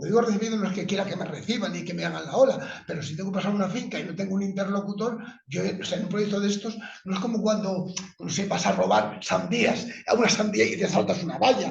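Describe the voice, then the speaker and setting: Against audible room echo, the speaker talks at a very fast pace in an animated tone with ordinary pitch variation. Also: man. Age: 70s. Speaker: book author presenting research. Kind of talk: book presentation discussion.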